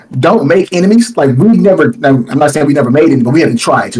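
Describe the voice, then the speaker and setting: A man talks at a very fast pace. His intonation is lively. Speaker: YouTube content creator. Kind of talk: casual chat. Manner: loud.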